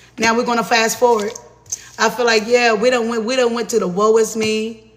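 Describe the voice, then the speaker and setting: Delivered at a fairly quick pace in a monotone, flat intonation, the speech sits over noticeable background noise. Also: man, extremely high pitch for a man. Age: 40s. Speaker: tarot reader. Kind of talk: live tarot reading stream. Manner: casual, profane.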